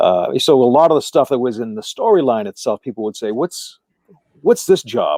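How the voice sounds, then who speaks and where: A very fast man's voice with an American accent, medium pitch, a dark, mellow tone and very wide pitch swings. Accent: Boston accent, stronger when tired. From Massachusetts, Boston area. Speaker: actor and musician. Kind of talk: casual chat. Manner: halting, repeats words.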